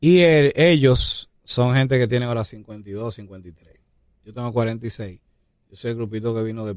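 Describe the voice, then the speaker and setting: In a very clean recording with a silent background, a man uses a plain, everyday voice at medium pitch, with ordinary pitch variation and a fairly slow pace. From Dominican Republic, Santo Domingo. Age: 40s. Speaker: hip hop artist. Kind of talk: interview.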